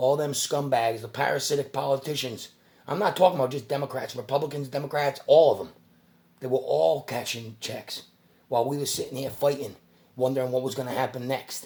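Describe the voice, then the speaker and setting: Somewhat breathy, a man talks at a fairly quick pace, medium in pitch with ordinary pitch variation. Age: 40s. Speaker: YouTuber. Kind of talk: casual rant to camera. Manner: fast; animated.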